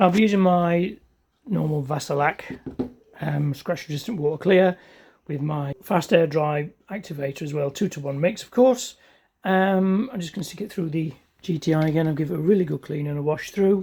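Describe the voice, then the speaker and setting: The speaker has a British accent and a relaxed tone. The pace is moderate. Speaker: car DIY vlogger. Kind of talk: casual DIY vlog narration. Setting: home garage. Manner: casual, relaxed.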